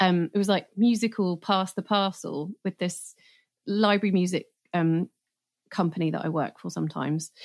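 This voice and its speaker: An unremarkable speaking voice, a woman's at medium pitch, with fairly even intonation and a moderate pace, very cleanly recorded with a silent background and a dry, close sound without echo. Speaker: film composer. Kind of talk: casual interview chat.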